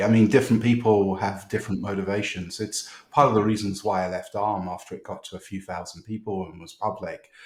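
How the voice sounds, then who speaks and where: Very fast male speech in a British accent, hardly any pauses, fairly even intonation and big swings in loudness. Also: fairly low pitch for a man. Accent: British, kept. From United Kingdom. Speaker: tech startup founder. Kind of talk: podcast interview. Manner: hesitant, many fillers and repeats.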